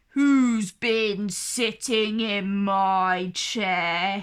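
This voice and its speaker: Putting on a growling character voice, a woman speaks at medium pitch with fairly even intonation. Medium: read story.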